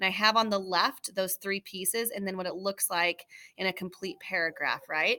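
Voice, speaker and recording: Bright and sharp in tone, a woman with a medium pitch and fairly even intonation is recorded in a dry, close sound with no echo, very clean with a silent background. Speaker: teacher. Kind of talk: tutorial. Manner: fast.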